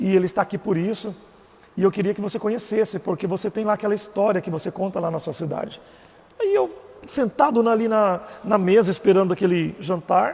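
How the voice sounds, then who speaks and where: A man with a Goiás accent speaks at a fairly quick pace in a high voice with ordinary pitch variation. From Brazil, Goiás. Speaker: religious live streamer. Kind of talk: personal testimony live stream. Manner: casual.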